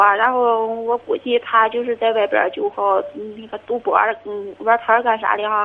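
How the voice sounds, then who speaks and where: Speaking at a fairly slow pace, a woman uses a fairly high voice. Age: 30s. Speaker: caller, stay-at-home mother. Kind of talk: call-in advice conversation. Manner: hesitant.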